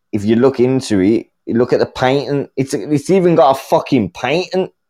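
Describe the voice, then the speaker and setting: A man's fairly high voice in a British accent, dark and mellow in tone, lively in intonation, at a moderate pace, with a dry, close sound and no echo. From UK. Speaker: caller. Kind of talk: heated rant. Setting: call-in. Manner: loud.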